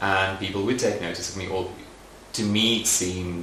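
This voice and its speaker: Over noticeable background noise and audible room echo, a man with a very deep, low voice speaks with fairly even intonation. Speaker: makeup artist and beauty writer. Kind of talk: documentary interview. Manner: reflective.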